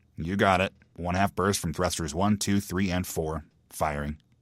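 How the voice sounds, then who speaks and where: Putting on a character voice, a man mumbles in a very deep, low pitch with a bored tone at a moderate pace. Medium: read story. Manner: mumbling, bored.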